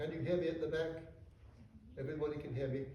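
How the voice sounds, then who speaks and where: Fairly high-pitched man's voice with audible room echo. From England. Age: 80s+. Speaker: author and visiting fellow. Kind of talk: public talk. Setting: lecture hall with audience. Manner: hesitant, with fillers.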